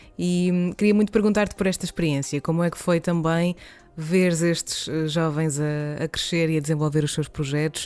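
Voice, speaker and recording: With music in the background, a woman with a European Portuguese accent speaks at a moderate pace, her fairly low voice holding a fairly even intonation. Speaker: podcast host. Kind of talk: interview. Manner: halting.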